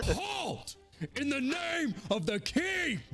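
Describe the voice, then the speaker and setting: A put-on character voice at a high pitch, with clear music in the background. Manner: commanding.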